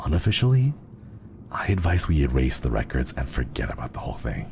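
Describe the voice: Putting on a character voice, a man talks at a fairly quick pace in an extremely low pitch with big pitch swings, vocal fry and a slightly mellow tone, over faint background noise.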